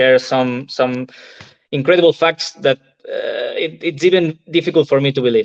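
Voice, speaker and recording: Speaking fairly slowly, a man has a Spanish accent. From Spain. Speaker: entrepreneur and novelist. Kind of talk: interview testimony. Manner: halting.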